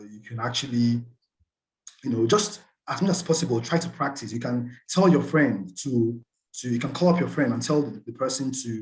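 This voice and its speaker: Somewhat breathy, fairly quick speech from a man at a medium pitch, with lively intonation and big swings in loudness. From Nigeria, Port Harcourt. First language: Nigerian Pidgin. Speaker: scholarship student. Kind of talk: webinar presentation.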